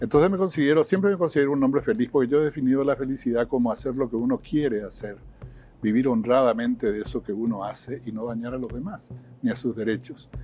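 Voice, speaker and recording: A man talks at a very fast pace in a medium pitch. Music plays in the background. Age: 70s. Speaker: retired professor, writer and musician. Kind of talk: interview conversation. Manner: hesitant, many fillers.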